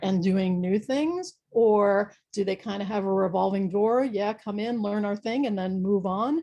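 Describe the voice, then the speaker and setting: A woman's medium-pitched voice, dark and mellow, somewhat breathy, at a moderate pace. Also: quiet background. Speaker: university research office staff. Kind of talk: presentation.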